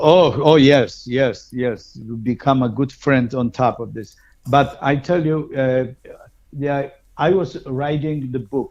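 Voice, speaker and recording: Over a quiet background, a man with a fairly high pitch talks at a very slow pace with fairly even intonation. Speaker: polka musician. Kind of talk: interview. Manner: halting.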